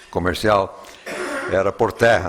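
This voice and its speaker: The speaker has an English accent and a monotone, flat intonation. Noticeable background noise runs behind the voice. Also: man. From Bolivia, then USA from age 11. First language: English (speaking Portuguese). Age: 70s. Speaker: Bible scholar and lecturer. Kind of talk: lecture. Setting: filmed lecture with live audience. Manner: halting, with many fillers.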